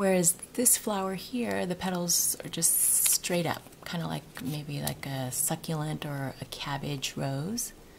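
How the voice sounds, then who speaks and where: Lively intonation marks a woman talking at a moderate pace. Noticeable background noise is present. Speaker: craft tutorial maker. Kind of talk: tutorial. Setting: at home. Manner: soft-spoken; casual with frequent fillers.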